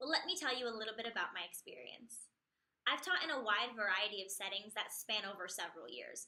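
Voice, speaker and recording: A woman speaks very fast with a New Jersey accent, her pitch fairly high. Her intonation is lively and her tone bright and sharp. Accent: New Jersey American English. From US Northeast, New Jersey near New York City. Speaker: English teacher. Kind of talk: self-introduction video.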